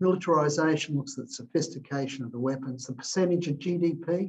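Somewhat breathy, a man talks at a moderate pace with an Australian accent and fairly even intonation. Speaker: philanthropist and entrepreneur. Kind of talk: interview answers.

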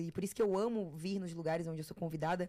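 The recording is very clean with a silent background, carrying a woman's dark, mellow tone. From Florianópolis, southern Brazil. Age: 20s. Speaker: TV personality and content creator. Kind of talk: casual interview chat.

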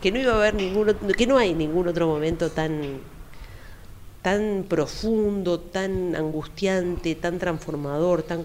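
A woman's normal speaking voice, fairly low in pitch, with ordinary pitch variation and a fairly slow pace. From Uruguay, Montevideo (Carrasco). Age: 50s. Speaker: psychologist. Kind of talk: interview.

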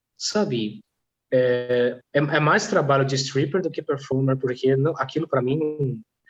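Music plays in the background as a man with a fairly high pitch and ordinary pitch variation speaks at a fairly slow pace. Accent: non-native. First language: not Portuguese (speaking Portuguese). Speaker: polyglot language teacher and stripper. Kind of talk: casual chat. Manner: halting.

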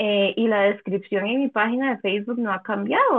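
The speaker talks at a fairly quick pace with a Costa Rican accent. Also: woman. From Costa Rica, San José. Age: 30s. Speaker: quilter. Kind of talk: casual interview.

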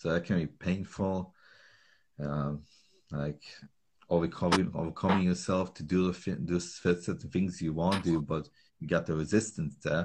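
A speaker with a Slovak accent talks at a fairly slow pace, with long, frequent pauses. The intonation stays fairly even. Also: man, very deep, low pitch for a man. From Slovakia. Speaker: calisthenics trainer. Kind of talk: casual interview chat.

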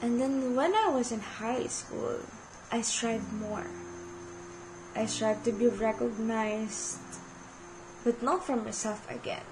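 In a room with audible echo and noticeable background noise, a woman with a Filipino accent speaks at a fairly slow pace in a fairly high pitch with ordinary variation, leaving long, frequent pauses. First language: Tagalog. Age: 20s. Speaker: podcast host. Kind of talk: personal monologue.

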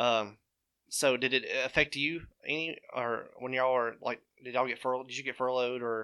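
A man speaks with a bright, sharp tone. The recording is very clean, and the background is silent. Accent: Alabama. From Alabama, Nauvoo (Walker County). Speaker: surgical healthcare worker. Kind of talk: casual chat. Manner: halting, many fillers.

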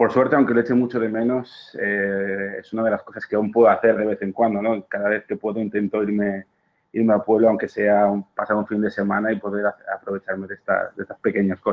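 A man talks fairly quickly with hardly any pauses. His fairly low voice has a monotone, flat intonation. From Ibiza, Sant Antoni. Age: 30s. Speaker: engineer. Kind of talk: voice message testimony. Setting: recorded voice message.

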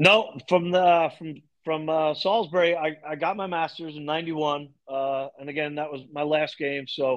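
An ordinary speaking voice: a man with an American accent, fairly high in pitch, talking at a fairly slow pace with hardly any pauses and fairly even intonation. His loudness swings widely against a quiet background. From Long Island, New York. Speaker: lacrosse coach. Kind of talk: interview.

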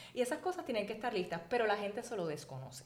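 A woman with a Puerto Rican accent and a fairly high pitch, over noticeable background noise. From Puerto Rico, Arecibo area. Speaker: architect and magazine editor. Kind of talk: interview.

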